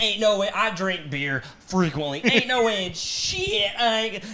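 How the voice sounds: With a bright, sharp tone, a man speaks at a high pitch and a fairly slow pace, making big pitch swings.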